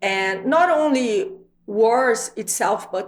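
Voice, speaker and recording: Speaking at a very slow pace, a woman talks with a Brazilian accent. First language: Portuguese. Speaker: videocast host. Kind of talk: interview.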